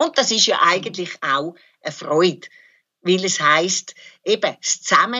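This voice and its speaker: A woman with a medium-pitched voice swings her pitch very widely and leaves long, frequent pauses. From Switzerland, Zurich area. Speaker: psychoanalyst and activist. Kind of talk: interview, personal recollection.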